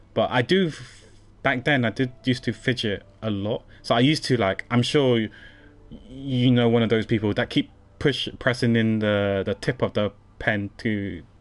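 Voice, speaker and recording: Over a quiet background, a man with a British accent talks at a medium pitch. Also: ordinary pitch variation, moderate pace. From UK. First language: not English. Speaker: game streamer. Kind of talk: casual chat.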